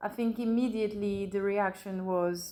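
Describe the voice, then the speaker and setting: A woman's voice in a French accent with monotone, flat intonation. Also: very clean recording, silent background. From France, Burgundy. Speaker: bereaved mother. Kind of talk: interview testimony. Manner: hesitant, many fillers.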